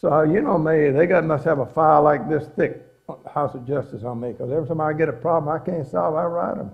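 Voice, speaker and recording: Using vocal fry, a man speaks at a moderate pace and a fairly high pitch with ordinary pitch variation. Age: 80s+. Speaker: religious speaker on pioneering. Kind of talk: inspirational talk to an audience. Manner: folksy, conversational.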